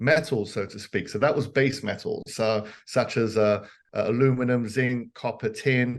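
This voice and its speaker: With a London accent, a man speaks at a moderate pace. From southeast London, England. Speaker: precious metals businessman. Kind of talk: podcast interview.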